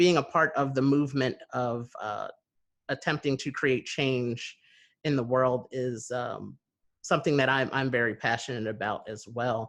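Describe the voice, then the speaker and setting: At a fairly slow pace, a man with an American accent talks at a medium pitch against a quiet background. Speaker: podcast host. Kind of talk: interview conversation. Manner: hesitant, many fillers.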